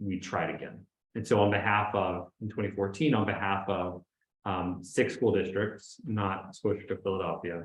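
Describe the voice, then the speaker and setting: Somewhat breathy and fairly low in pitch, a man talks at a moderate pace with fairly even intonation. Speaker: public interest lawyer. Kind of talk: panel discussion.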